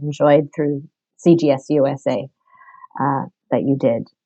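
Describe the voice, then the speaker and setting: A woman at a very deep, low pitch, fairly slow in pace with fairly even intonation. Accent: American. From United States. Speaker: religious sister and catechist. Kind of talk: webinar discussion.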